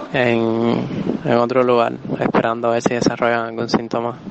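With noticeable background noise behind him, a man talks at a moderate pace and a medium pitch. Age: 20s. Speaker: hospitalized COVID-19 patient. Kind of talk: interview.

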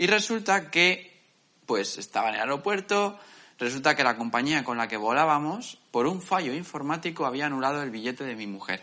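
Here a man has an unremarkable speaking voice, fairly high in pitch, with lively intonation. He keeps a moderate pace. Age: 20s. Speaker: podcast co-host. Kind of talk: casual chat.

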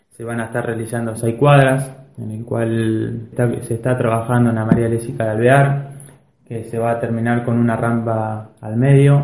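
In a room with audible echo, a man speaks at a moderate pace. His medium-pitched delivery is monotone and flat. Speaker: local government official. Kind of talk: radio interview.

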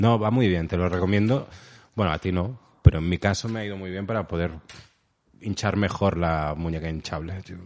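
A man's very deep, low pitch at a fairly quick pace, broken by long, frequent pauses, with big swings in loudness, ordinary pitch variation and a quiet background. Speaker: podcast co-host. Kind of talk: casual chat. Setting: home recording.

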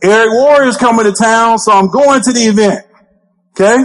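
A man with an Alabama accent speaks at a moderate pace in a high pitch, with ordinary pitch variation. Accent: Southern US (Alabama). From US South, Alabama. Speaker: network marketing trainer. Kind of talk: motivational training talk. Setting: stage with audience. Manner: animated.

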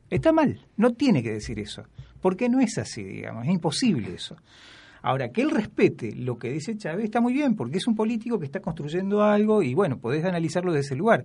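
The speech races at a very fast pace with very wide pitch swings. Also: man, high pitch for a man. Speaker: history lecturer. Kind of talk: casual chat. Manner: halting.

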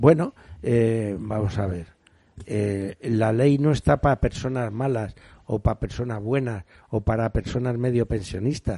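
Fairly slow and marked by long, frequent pauses, the voice has a dark, mellow tone and ordinary pitch variation in a dry, close sound with no echo. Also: man, medium pitch for a man. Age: old. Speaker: radio panelist. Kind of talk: radio talk show panel discussion.

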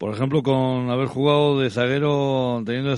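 Here is a man with an unremarkable speaking voice. He speaks at a moderate pace in a medium pitch. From Basque Country (Álava, La Guardia). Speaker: radio sports host. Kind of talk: radio interview.

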